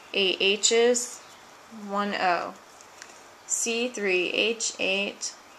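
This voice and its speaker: A woman with a medium pitch and fairly even intonation talks very slowly, leaving long, frequent pauses. Noticeable background noise sits behind her. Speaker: chemistry teacher. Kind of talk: tutorial.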